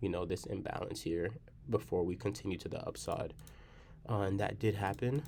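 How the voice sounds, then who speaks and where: Quiet and dark, mellow in tone, the voice moves at a moderate pace with vocal fry. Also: man. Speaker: day trader. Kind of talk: trading recap tutorial. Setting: library. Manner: quiet, low voice.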